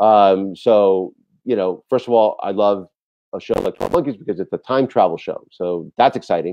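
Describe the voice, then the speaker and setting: Speaking with an American accent, a man keeps a fairly low pitch and a moderate pace with ordinary pitch variation. The sound is dry with no echo, with light background noise. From New York City. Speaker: TV director; TV guest. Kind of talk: interview. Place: home room. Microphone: video call.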